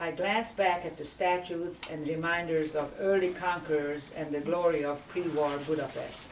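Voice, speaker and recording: The speaker talks at a moderate pace in a Hungarian accent, with audible room echo and noticeable background noise. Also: woman. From Hungary, emigrated to Indiana at eleven. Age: 70s. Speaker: memoir author. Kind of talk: reading aloud.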